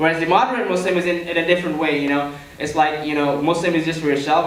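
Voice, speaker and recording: Very fast speech with monotone, flat intonation comes through audible room echo and noticeable background noise. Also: man. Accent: American. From Malaysia. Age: young. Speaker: student activist panelist. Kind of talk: panel talk. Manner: halting.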